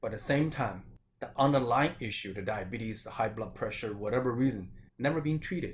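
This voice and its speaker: Speaking with a Chinese accent, a man uses a medium pitch and ordinary pitch variation. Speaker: acupuncturist and Chinese medicine doctor. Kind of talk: health talk.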